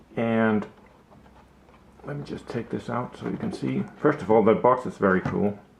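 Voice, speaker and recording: A man talks at a moderate pace with very wide pitch swings. Long, frequent pauses and noticeable background noise fill the clip. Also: medium pitch for a man. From Denmark. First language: Danish. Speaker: watch hobbyist YouTuber. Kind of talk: casual product video. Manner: halting, many fillers.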